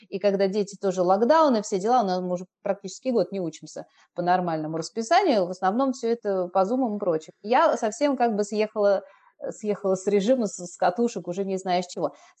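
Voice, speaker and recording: A woman's unremarkable speaking voice, medium in pitch, fairly quick, with ordinary pitch variation. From Moscow, Russia. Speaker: blogger and Korean teacher. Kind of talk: casual chat. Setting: remote call.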